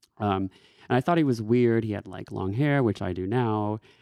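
A man with an American accent speaks at a moderate pace and medium pitch, with ordinary pitch variation. It is a normal speaking voice. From Texas. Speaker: yoga teacher and life coach. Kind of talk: casual interview chat. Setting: studio.

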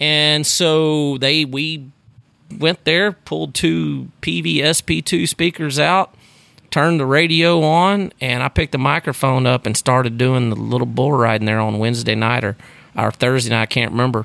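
A man's bright, sharp tone with a Texan accent. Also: medium pitch for a man, lively intonation, moderate pace, dry, close sound with no echo. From Texas, Sugarland near Houston. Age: 40s. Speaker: rodeo announcer. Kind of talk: casual chat. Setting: room by the Gulf of Mexico with door open.

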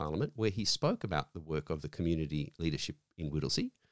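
A man with an Australian accent at a fairly quick pace, the sound dry and close with no echo, on a very clean recording with a silent background. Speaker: foundation representative. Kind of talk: interview. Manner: halting.

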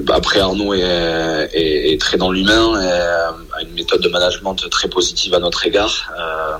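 Noticeable noise fills the background. A man talks over it at a fairly slow pace. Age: 20s. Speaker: professional rugby player. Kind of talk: radio interview. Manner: halting.

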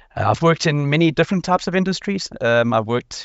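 A man with a South African accent talks with lively intonation. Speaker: scrum master. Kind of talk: panel discussion. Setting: video call.

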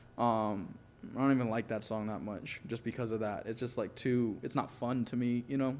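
Here a man speaks in a normal speaking voice at a fairly quick pace. His pitch sits at a medium level, with ordinary variation. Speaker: podcast guest, musician and actor. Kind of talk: casual interview, telling his life story.

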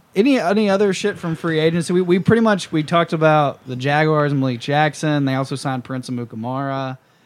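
With an American accent, a man with a fairly high pitch talks at a very fast pace with hardly any pauses and ordinary pitch variation, in a very clean recording with a silent background. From US South. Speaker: podcast host. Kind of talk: casual chat.

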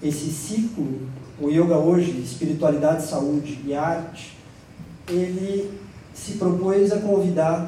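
The speaker talks very slowly with ordinary pitch variation, amid audible room echo and noticeable background noise. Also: man, high pitch for a man. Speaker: psychoanalyst and panel moderator. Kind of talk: panel moderation. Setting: stage with audience.

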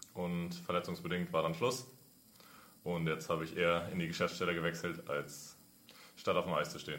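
A man with a very deep, low pitch and a slight Franconian accent speaks at a moderate pace. His intonation is fairly even, broken by long, frequent pauses. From Franconia, Nuremberg. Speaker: intern, former ice hockey goalie. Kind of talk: casual interview.

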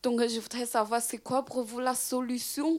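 A woman's high-pitched voice with a Chinese accent. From China. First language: Chinese (speaking French). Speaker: audience member. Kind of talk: audience question. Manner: halting.

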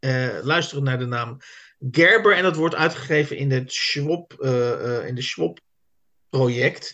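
Lively intonation and a bright, sharp tone come from a man with a fairly high pitch. He speaks at a fairly slow pace. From South Holland, Netherlands. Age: 50s. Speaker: literary podcast host. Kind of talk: casual chat. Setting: video call.

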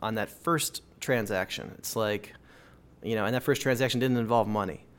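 A man with an Upper Midwest accent speaks at a medium pitch and a moderate pace, with ordinary pitch variation. The recording is very clean, with a silent background. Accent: Upper Midwest American. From Minnesota, Minneapolis suburbs. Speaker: bicycle mechanic and bike shop manager. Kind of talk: interview. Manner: casual, many fillers.

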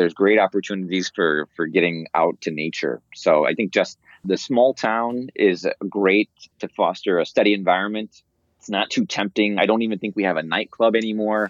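In an American accent, the speaker uses a plain, everyday voice with ordinary pitch variation at a moderate pace. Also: man, fairly low pitch for a man. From US Midwest, Indiana. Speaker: professor. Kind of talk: interview.

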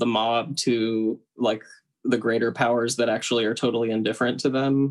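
This man has an American accent and medium pitch. His intonation stays monotone and flat. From US South, Tennessee. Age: 20s. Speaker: Episcopal priest. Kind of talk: casual chat.

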